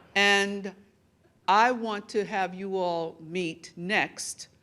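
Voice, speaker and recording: In a very clean recording with a silent background, a woman speaks at a medium pitch with an American accent. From New York City, the Bronx. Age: 60s. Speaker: media executive, award honoree. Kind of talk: award acceptance speech. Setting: gala dinner stage with audience.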